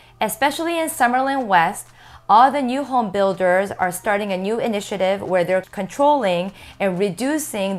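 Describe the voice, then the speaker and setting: A woman talks with lively intonation at a moderate pace. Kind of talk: informational explainer. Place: office. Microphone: lapel.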